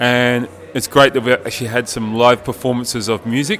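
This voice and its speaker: A man at medium pitch with an Australian accent, flat and monotone in intonation, over noticeable background noise. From Australia, East Coast. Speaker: linguist, conference participant. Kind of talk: interview testimonial.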